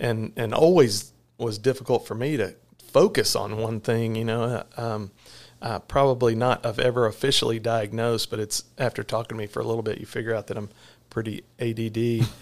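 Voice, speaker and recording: A man in a Texan accent, medium-pitched, with fairly even intonation at a fairly quick pace. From Texas (Corsicana). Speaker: veterinarian and clinic owner. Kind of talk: casual interview. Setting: in person at the clinic. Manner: halting, many fillers.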